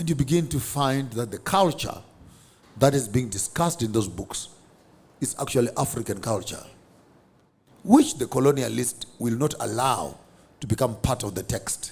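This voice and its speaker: A somewhat breathy man with a Zimbabwean accent, with long, frequent pauses. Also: medium pitch for a man, lively intonation, moderate pace. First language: Shona. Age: 50s. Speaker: theologian. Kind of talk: interview.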